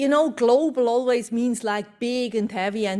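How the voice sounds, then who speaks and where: A woman with a Swiss accent speaks at a moderate pace with ordinary pitch variation. Noticeable background noise can be heard. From Switzerland. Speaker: company executive. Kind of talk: conference presentation.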